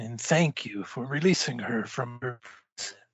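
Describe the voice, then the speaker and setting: This man is doing a put-on character voice. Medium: actual play. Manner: formal, stilted.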